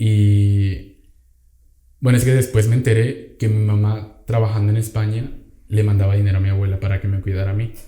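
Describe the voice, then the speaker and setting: A man speaks with a somewhat breathy, dark and mellow tone. His intonation stays monotone and flat. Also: fairly low pitch for a man, moderate pace. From Venezuela. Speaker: podcast guest. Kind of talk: casual chat.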